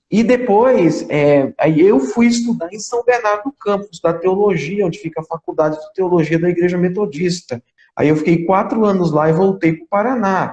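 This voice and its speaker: A man's high-pitched voice with an Alagoas accent, ordinary pitch variation and hardly any pauses, in a dry, close sound with no echo. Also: moderate pace. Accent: northeastern Brazilian (Alagoas). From Brazil, Alagoas (Maceió). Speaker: pastor. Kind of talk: interview.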